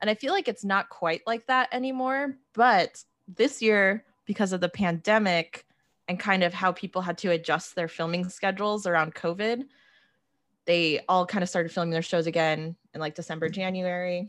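A woman with an ordinary speaking voice, medium pitch, ordinary pitch variation, and a moderate pace, on a very clean recording with a silent background. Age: 30s. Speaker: pop culture writer. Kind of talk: casual chat.

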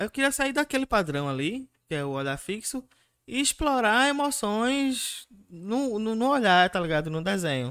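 At a fairly slow pace, a man with a high, bright and sharp voice swings his pitch very widely. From Recife, Pernambuco, Brazil. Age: 30s. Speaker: tattoo artist and illustrator. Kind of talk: interview. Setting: live-streamed podcast studio.

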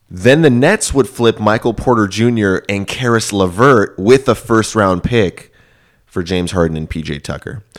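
Speaking at a moderate pace in an American accent, a man has a plain, everyday voice, a fairly low pitch and ordinary pitch variation. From Houston, Texas. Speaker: sports podcast co-host. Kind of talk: casual chat.

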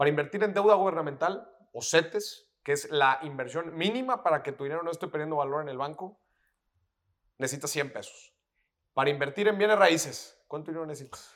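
In an unremarkable speaking voice, the speaker moves at a fairly quick pace with ordinary pitch variation and big swings in loudness. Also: man, fairly high pitch for a man. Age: 20s. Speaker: personal finance educator. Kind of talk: casual interview chat.

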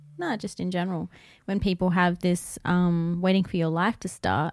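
A woman with an Australian accent speaks at a fairly quick pace, at a fairly low pitch, in a monotone, flat intonation. The recording is very clean and dry, with a close sound, no echo and a silent background. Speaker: podcast co-host. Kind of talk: casual chat. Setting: live-streamed video recorded at home.

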